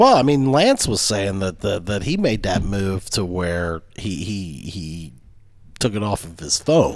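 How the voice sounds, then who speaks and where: An ordinary speaking voice, a man with an American accent, fairly low in pitch, lively in intonation, at a fairly slow pace. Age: 40s. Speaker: podcast co-host. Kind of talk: casual chat.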